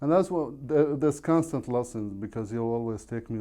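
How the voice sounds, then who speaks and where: With lively intonation, a man speaks at a medium pitch and moderate pace in a dark, mellow tone against a quiet background. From Iraq. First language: Arabic. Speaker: real estate agent. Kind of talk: podcast interview.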